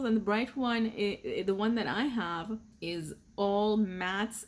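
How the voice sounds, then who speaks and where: A woman with a non-native accent, ordinary pitch variation and a fairly slow pace. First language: not English. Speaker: beauty youtuber. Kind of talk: casual product review chat.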